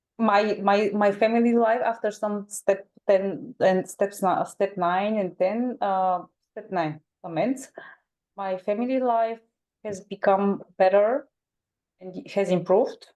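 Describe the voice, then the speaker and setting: A woman with a Bulgarian accent speaks very slowly at a medium pitch. Her tone is dark and mellow, and her intonation is fairly even. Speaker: twelve-step program member. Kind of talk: testimony. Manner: halting.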